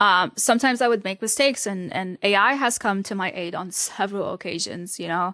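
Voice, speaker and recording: Someone with an Arabic accent talks at a fairly quick pace with fairly even intonation. The recording is very clean with a silent background and a dry, close sound with no echo. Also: woman. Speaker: newsletter writer. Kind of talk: interview.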